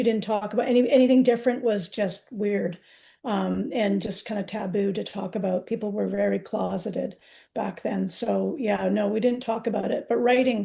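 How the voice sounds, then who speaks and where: Her voice shows vocal fry, and this woman talks at a moderate pace with a medium pitch and ordinary pitch variation. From UK. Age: 60s. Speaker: poet. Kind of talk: interview. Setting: live event. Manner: halting.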